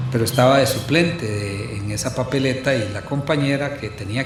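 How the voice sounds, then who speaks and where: A man is speaking in a room with audible echo. Noticeable noise is present in the background. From Costa Rica, Santo Domingo de Heredia. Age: 70s. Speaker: historian and university professor. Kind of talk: casual chat. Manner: halting.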